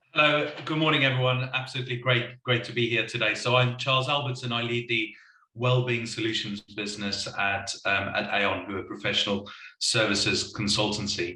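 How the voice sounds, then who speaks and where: Audible room echo surrounds a man's voice as he speaks at a fairly quick pace. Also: medium pitch for a man, fairly even intonation. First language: not English. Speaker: wellbeing consultancy leader. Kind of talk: panel discussion. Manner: hesitant, repeats words.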